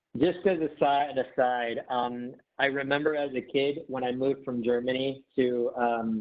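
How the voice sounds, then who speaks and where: Hardly pausing, a man with a Midwestern US accent speaks at medium pitch with fairly even intonation. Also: moderate pace. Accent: General American, Midwest. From Detroit, Michigan (Filipino family). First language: not English (childhood). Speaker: management trainer. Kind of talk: online workshop presentation. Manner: casual, with many fillers.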